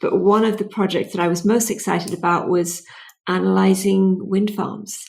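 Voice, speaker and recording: A woman with a British accent speaks at a moderate pace in a medium-pitched voice with vocal fry and monotone, flat intonation. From Britain. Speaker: clean tech entrepreneur. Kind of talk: interview.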